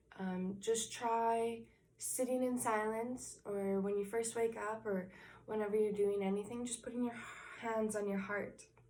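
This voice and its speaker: Over audible room echo, a fairly high-pitched woman with a dark, mellow tone speaks at a fairly slow pace in a monotone, flat intonation. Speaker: inspirational vlogger. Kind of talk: motivational talk to camera. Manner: slow, calm.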